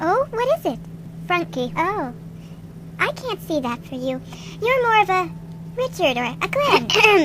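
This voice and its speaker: A female-sounding, put-on character voice at a fairly slow pace, with long, frequent pauses and clear background noise. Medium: audio drama. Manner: gushing, chatty.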